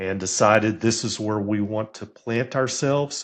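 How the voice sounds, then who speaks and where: With a Texan accent and a fairly low pitch, a man speaks at a fairly slow pace with ordinary pitch variation over a quiet background. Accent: Texan American. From Texas. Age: 60s. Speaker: career coach and sports statistician. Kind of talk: podcast interview.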